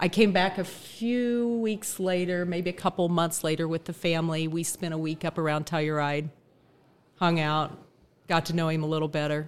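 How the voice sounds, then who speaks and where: A woman speaks at a moderate pace in an ordinary speaking voice, fairly low-pitched for a woman, with ordinary pitch variation. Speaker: daughter of guest. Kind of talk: casual storytelling.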